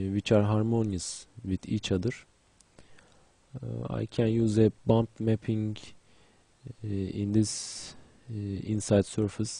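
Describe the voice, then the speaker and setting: With a Turkish accent, a man speaks at a very slow pace in a fairly low pitch. His tone is dark and mellow, and the sound is dry and close with no echo. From Turkey. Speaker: 3D graphics instructor. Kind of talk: tutorial. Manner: halting, many fillers.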